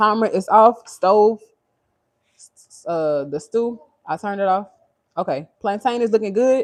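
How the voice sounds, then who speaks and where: At a moderate pace, a woman with an American accent speaks in a fairly high pitch with lively intonation. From Louisiana. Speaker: lifestyle vlogger. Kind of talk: casual chat. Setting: live stream in home kitchen. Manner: animated.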